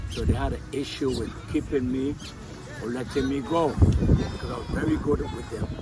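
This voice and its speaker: A man with an American accent speaks at a medium pitch and moderate pace with fairly even intonation, amid noticeable background noise and audible room echo. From US Virgin Islands (Saint Thomas). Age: 70s. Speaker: war veteran, retired finance worker. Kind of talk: casual interview conversation. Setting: on vacation in Antigua.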